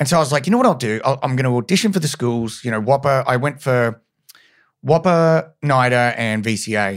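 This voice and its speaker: In a clean recording with a silent background, a man with an Australian accent talks fairly quickly at medium pitch with ordinary pitch variation. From Brisbane, Australia. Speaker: actor. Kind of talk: casual chat. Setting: podcast interview.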